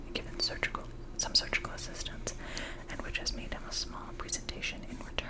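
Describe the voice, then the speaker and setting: Whispering, a woman can be heard against noticeable background noise. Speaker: ASMR content creator. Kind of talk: whispered ASMR audiobook reading of a classic novel. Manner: whispered, soft, relaxing.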